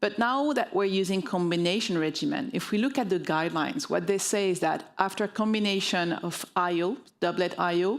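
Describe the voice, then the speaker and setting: A woman speaks with a French accent, her loudness very even and her pauses hardly there. The recording is very clean, with a silent background. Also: medium pitch for a woman, ordinary pitch variation, fairly quick pace. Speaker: oncologist. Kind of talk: medical conference talk. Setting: stage with audience.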